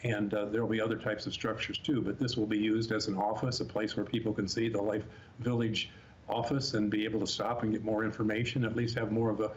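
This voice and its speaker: A man speaks at a fairly low pitch in a flat monotone, somewhat breathy. Audible room echo surrounds his voice. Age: 70s. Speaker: special education professional. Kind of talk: interview.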